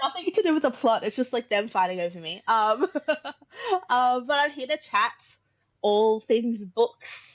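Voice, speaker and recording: In an Australian accent, a woman with a high pitch and lively intonation speaks at a fairly slow pace with long, frequent pauses. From Australia, Brisbane, Queensland. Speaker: author. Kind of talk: casual chat.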